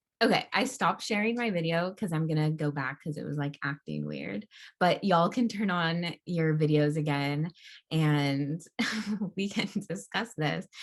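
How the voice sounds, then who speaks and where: Lively intonation runs through this moderate-paced speech. Long pauses come often. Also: woman. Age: 20s. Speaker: digital content creator and organizer; vegan chef. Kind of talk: casual guest lecture over video call. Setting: video call.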